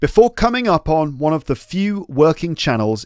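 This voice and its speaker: The speaker is a man with a British accent. The recording is very clean, with a silent background. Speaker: podcast host, English teacher. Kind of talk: educational podcast, reading story aloud with explanations. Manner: casual, with fillers and hesitations.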